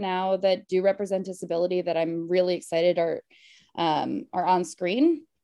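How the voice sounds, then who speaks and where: A woman's voice with an American accent, dark and mellow in tone, medium in pitch, with fairly even intonation. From Connecticut, family from Queens. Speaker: comedian. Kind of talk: casual chat. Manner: halting, many fillers.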